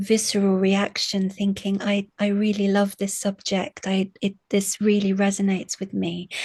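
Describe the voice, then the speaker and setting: Against a quiet background, a woman sounds somewhat breathy, her intonation monotone and flat. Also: medium pitch for a woman, moderate pace, hardly any pauses. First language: Arabic. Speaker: university lecturer in English literature. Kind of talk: interview. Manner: halting, many fillers and repetitions.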